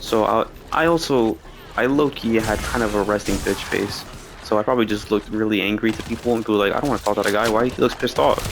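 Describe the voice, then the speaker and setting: Over noticeable background noise, a soft-spoken man talks at a very fast pace in a fairly low voice, with ordinary pitch variation and very even loudness. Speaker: gaming streamer. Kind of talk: casual storytelling.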